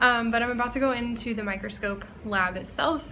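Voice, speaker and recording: A woman's voice shows ordinary pitch variation, with audible room echo in the room. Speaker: vlogger and graduate student researcher. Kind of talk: vlog. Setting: university lab. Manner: casual, chatty.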